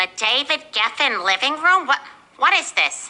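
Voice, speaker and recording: A cartoonish character voice, female-sounding and high-pitched, at a moderate pace. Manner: skeptical, questioning.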